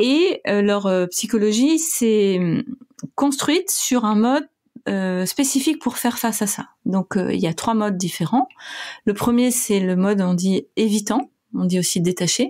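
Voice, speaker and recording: A woman with a plain, everyday voice speaks at a fairly slow pace, her fairly high pitch carried by lively intonation. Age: 40s. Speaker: clinical psychologist and author. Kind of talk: casual interview.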